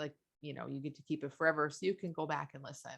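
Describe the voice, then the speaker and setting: This woman's voice is very deep and low, with vocal fry. Her intonation stays fairly even. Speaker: life coach. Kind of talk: webinar Q&A. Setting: video call webinar. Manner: fast.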